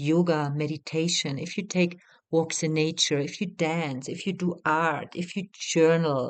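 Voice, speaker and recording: At a fairly slow pace, a woman with a non-native accent speaks at a fairly low pitch with ordinary pitch variation. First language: not English. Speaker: retreat facilitator and mentor. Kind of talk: guided teaching talk. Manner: hesitant, many fillers.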